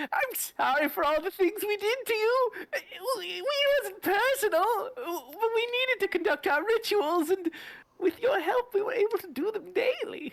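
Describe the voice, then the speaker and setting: A female-sounding put-on character voice goes at a moderate pace. Its pitch is extremely high for a woman. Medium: actual play. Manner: zealous.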